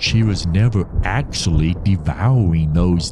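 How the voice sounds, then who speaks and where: Noticeable background noise runs through the recording. A man talks at a fairly slow pace in a very deep, low voice. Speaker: storytelling podcast host. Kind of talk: dramatic first-person horror narration, read aloud. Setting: studio podcast recording. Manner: theatrical, suspenseful, animated with wry asides; storyteller's pacing, builds tension toward a reveal.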